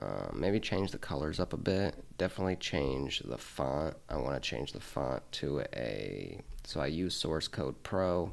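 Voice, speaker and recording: Mumbling with vocal fry, a man talks at a fairly slow pace in a very deep, low pitch. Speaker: Linux tech YouTuber. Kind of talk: screen-recorded tutorial. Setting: home desk, late night. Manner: casual. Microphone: quiet, mic not close to face.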